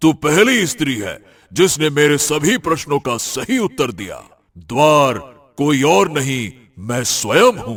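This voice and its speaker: A man puts on a cartoonish character voice with a fairly high pitch. He speaks at a fairly slow pace. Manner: grave, imposing.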